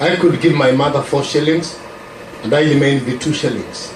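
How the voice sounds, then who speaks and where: Amid noticeable background noise and audible room echo, a man with a Kenyan accent speaks in a fairly high pitch with monotone, flat intonation. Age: 70s. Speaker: preacher. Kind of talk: testimony. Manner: halting.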